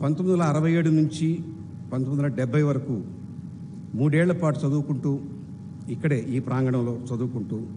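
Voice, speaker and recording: The room echo is audible as a man talks with a fairly high pitch, ordinary pitch variation and very even loudness. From Andhra Pradesh, India (Nellore). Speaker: chief guest speaker, alumnus. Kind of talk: convocation speech. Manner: formal.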